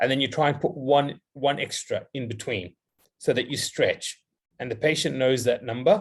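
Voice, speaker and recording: Using a medium pitch, a man speaks with ordinary pitch variation. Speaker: dentist, guest lecturer. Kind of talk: lecture Q&A. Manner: fast.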